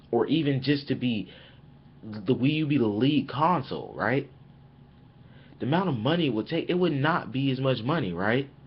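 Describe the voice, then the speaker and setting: Somewhat breathy, a man of medium pitch speaks at a moderate pace, leaving long, frequent pauses. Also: ordinary pitch variation. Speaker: gaming YouTuber. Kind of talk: casual webcam commentary. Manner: rambling with repetitions.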